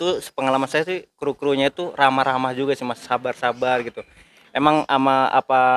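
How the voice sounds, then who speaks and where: A man's medium-pitched voice, fairly quick and monotone in flat intonation, with a dry, close sound and no echo. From Wonogiri, Central Java, then Banten. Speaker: vlogger. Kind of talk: casual vlog interview. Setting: outdoors at a bus terminal and a cattle farm.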